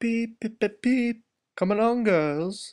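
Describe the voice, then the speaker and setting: The pitch is fairly high in this put-on character voice. Delivery is fairly slow. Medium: read story. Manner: excitable, eager.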